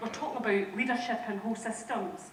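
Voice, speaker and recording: In a room with audible echo and noticeable background noise, a woman talks at a fairly quick pace in a raised, projected voice. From Scotland. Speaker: police violence reduction leader. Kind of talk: keynote speech. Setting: conference stage with audience. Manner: fast when excited.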